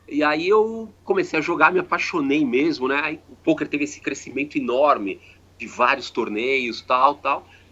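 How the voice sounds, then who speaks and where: With a bright, sharp tone and lively intonation, a man speaks at a moderate pace and a fairly high pitch. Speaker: poker player and sponsor representative. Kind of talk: recorded interview.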